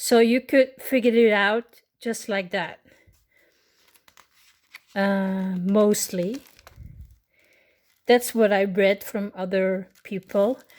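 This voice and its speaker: Speaking at a very slow pace with long, frequent pauses, a woman with a Dutch accent uses medium pitch and fairly even intonation. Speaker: miniature kit crafter. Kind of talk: unscripted unboxing talk to camera. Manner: hesitant, casual.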